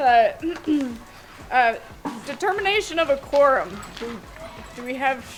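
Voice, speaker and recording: A woman speaks at a fairly slow pace in a high voice with very wide pitch swings, over noticeable background noise. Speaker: community council chair. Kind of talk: public meeting chairing. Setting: outdoor pavilion with audience.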